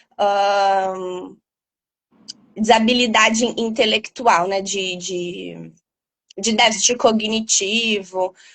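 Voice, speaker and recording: A woman with a fairly high pitch talks very slowly. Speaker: doctor specializing in sleep. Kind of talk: interview explanation. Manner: loud. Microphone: poor headset audio at first.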